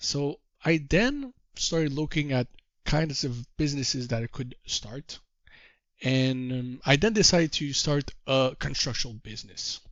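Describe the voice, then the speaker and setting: Fairly high-pitched for a man, this speaker talks fairly slowly with ordinary pitch variation and a slight French Canadian accent. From Quebec. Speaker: trader and course teacher. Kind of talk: course introduction talk. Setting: call.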